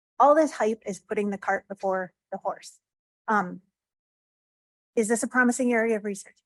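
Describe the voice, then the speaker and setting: A woman with a fairly high pitch and ordinary pitch variation speaks with long, frequent pauses in a dry, close sound with no echo. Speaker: FDA psychiatry division director, speaker. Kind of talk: conference talk. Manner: fast.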